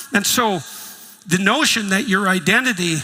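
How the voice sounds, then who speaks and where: A raised, projected voice from a man, high in pitch. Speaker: psychologist and professor. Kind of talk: lecture talk on philosophy and religion.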